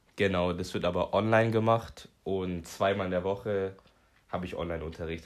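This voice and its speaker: Over a silent background in a very clean recording, a man talks at a moderate pace with a very deep, low pitch and fairly even intonation. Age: 20s. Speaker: retail apprentice. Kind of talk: interview.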